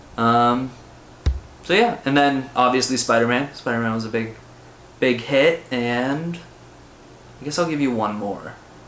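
A man with a Canadian accent and a medium pitch talks at a fairly slow pace with long, frequent pauses, over noticeable background noise and audible room echo. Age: 20s. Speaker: comics podcaster. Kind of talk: casual monologue. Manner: animated.

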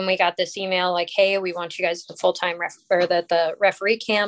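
A woman speaks with an American accent at a fairly quick pace. Her intonation is monotone and flat. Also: dry, close sound with no echo, quiet background. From Colorado. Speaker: ice hockey referee. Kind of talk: casual interview.

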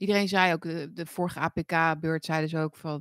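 In a dry, close sound with no echo, a woman's words come at a moderate pace. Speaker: political commentary livestream host. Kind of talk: casual livestream monologue.

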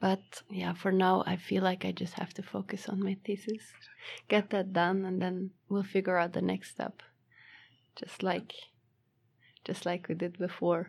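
A woman's medium-pitched voice with vocal fry, monotone, flat intonation, a fairly slow pace and long, frequent pauses. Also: very clean recording, silent background. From Belgium. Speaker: master's student. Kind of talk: casual interview.

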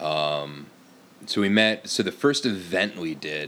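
A man with an American accent. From US Upper Midwest (Fargo, North Dakota). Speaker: cider maker. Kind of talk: casual chat.

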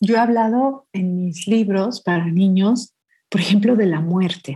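Somewhat breathy and dark, mellow in tone, a woman speaks at a medium pitch and a very slow pace with ordinary pitch variation. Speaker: poet and children's author. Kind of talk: interview. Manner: sweet yet powerful reading voice.

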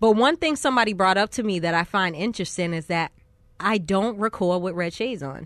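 Against a quiet background, a woman uses a normal speaking voice at a medium pitch with lively intonation. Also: fairly quick pace. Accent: American. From Boston, US. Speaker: rapper. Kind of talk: interview. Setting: studio.

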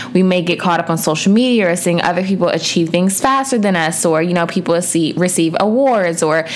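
At a fairly quick pace, a woman with a medium pitch and ordinary pitch variation speaks over noticeable background noise. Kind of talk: pep talk. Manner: earnest, encouraging, direct address to listeners.

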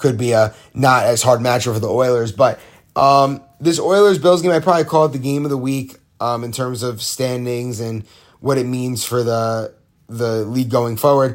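Medium in pitch and showing ordinary pitch variation, a man's voice moves at a moderate pace. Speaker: podcast host of amateur football league show. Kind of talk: solo sports recap monologue. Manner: casual with frequent filler ums; relaxed, lying down near the end.

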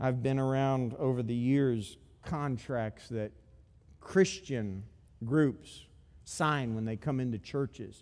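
A man talks very slowly in a very clean recording with total background silence. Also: medium pitch for a man, ordinary pitch variation. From Africa. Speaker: guest preacher. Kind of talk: sermon. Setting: church with live audience.

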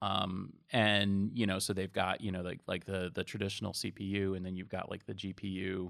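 In a very clean recording with a silent background, a man with an American accent and vocal fry talks at a moderate pace. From Massachusetts. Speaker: IT industry analyst. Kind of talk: casual interview chat.

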